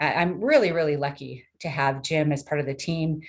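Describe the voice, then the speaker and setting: This woman has a very deep, low-pitched voice. She talks at a fairly quick pace. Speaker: technology transfer program staff. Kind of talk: webinar presentation. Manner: fast.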